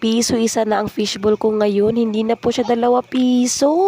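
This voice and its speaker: A woman's fairly high voice at a moderate pace, dry and close with no echo, amid noticeable background noise. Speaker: vlogger and street food vendor. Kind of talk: cooking vlog narration. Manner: casual, chatty.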